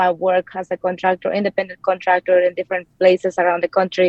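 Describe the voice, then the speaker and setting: A woman speaks with a Mexican accent. Her pitch is medium. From Mexico. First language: Spanish. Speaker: real estate investor and anesthesia provider. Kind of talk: interview. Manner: hesitant with frequent fillers.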